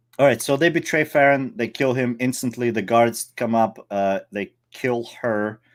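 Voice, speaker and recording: In a non-native accent, the speaker talks at a fairly slow pace with ordinary pitch variation and hardly any pauses, on a very clean recording with a silent background. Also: man, medium pitch for a man. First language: not English. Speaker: movie podcast co-host. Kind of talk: casual chat. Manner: halting.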